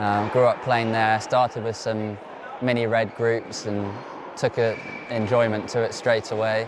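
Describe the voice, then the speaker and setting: Monotone, flat intonation in a southern English accent, at a fairly slow pace, with audible room echo and noticeable background noise. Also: man, medium pitch for a man. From southern England, Oxfordshire. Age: 20s. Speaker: professional tennis player. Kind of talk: interview.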